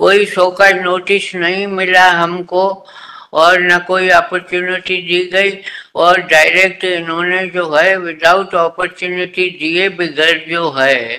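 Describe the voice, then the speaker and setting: A man's high-pitched voice, bright and sharp in tone, with monotone, flat intonation. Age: 80s+. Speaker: petitioner arguing own case in court. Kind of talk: court argument.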